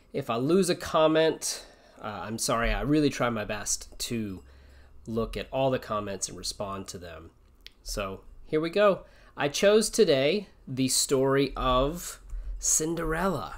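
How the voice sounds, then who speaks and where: Speaking at a fairly slow pace, a man with a fairly high pitch shows very wide pitch swings and big swings in loudness. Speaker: English teacher. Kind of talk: casual livestream chat before reading aloud. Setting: live stream. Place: home room. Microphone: webcam.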